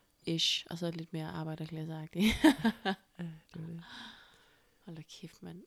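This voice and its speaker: Speech comes at a fairly slow pace with long, frequent pauses, a somewhat breathy voice, fairly even intonation and big swings in loudness, on a very clean recording with a silent background. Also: woman, fairly low pitch for a woman. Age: 30s. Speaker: podcast host. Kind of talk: casual chat.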